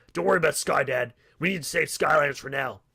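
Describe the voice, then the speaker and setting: A raspy, put-on character voice rattles along at a very fast pace. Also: man, fairly high pitch for a man. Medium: read story. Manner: cheeky, upbeat.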